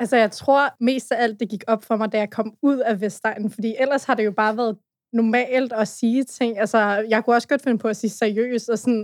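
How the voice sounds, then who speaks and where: An unremarkable speaking voice from a woman, fairly high in pitch, at a moderate pace with fairly even intonation. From Brøndby, Copenhagen western suburbs. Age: 20s. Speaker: youth activist. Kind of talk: casual chat.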